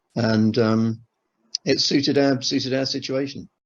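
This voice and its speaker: Against a quiet background, a man with a southern English accent talks at a moderate pace. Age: 60s. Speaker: retired airline manager, timeshare customer. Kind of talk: interview testimony. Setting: on camera interview. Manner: hesitant, many fillers and restarts.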